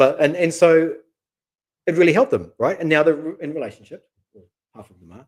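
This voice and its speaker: Speaking with a New Zealand accent, a man talks at a fairly quick pace in a high pitch with ordinary pitch variation. His loudness swings widely, and he takes long, frequent pauses. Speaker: matchmaker, channel co-host. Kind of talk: live stream chat. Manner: casual, repetitive fillers.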